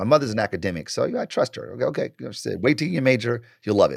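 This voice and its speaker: Someone speaks very fast with an American accent. The tone is animated. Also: man. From US Midwest, Detroit. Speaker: marketing professor and author. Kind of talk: casual interview.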